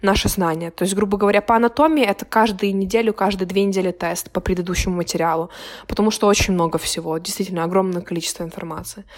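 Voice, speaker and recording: Speaking very fast with a slight Ukrainian accent, a woman uses ordinary pitch variation. Her pitch is medium. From Ukraine. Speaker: university student. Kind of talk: casual chat.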